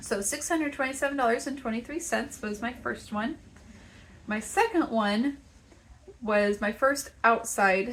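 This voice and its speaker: A woman with a Texas accent talks slowly, pausing long and often, her high pitch showing ordinary variation. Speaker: crochet maker and market vendor. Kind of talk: casual vlog talk.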